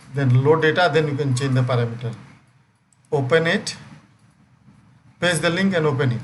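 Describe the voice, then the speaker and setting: The man's voice is somewhat breathy, with a fairly high pitch and ordinary pitch variation. He speaks at a moderate pace, and the room echo is audible. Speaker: software trainer. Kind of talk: live online training session.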